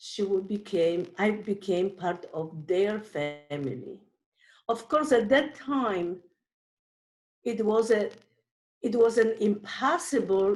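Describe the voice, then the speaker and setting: In a Polish accent, a woman speaks at a very slow pace with lively intonation. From Poland. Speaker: Holocaust survivor. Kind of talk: testimony. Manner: halting.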